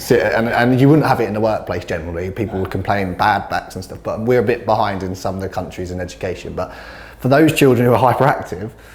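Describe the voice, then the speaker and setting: A man's fairly low voice in a British accent at a very fast pace, with noticeable background noise. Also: ordinary pitch variation. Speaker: teacher and inclusive sports coach. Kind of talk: podcast interview. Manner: energetic.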